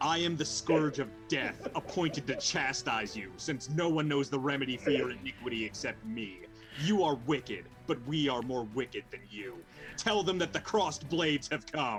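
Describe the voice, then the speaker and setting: With clear music in the background, a man uses a booming, menacing put-on character voice at a medium pitch, lively in intonation and moderate in pace. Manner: commanding, menacing.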